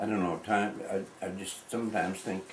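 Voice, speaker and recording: Over noticeable background noise and audible room echo, a man with an American accent talks in a very deep, low voice with fairly even intonation. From New England, US (Palmyra, Maine). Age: 80s+. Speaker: local elder, farmer. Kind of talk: oral history interview. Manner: halting, many fillers.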